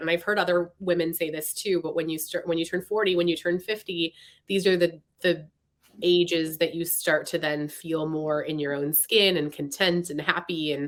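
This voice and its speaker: A woman speaks at a moderate pace with an American accent. Hers is an ordinary speaking voice, fairly low in pitch. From US Pacific Northwest, Seattle area. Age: 40s. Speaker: novelist. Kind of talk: interview.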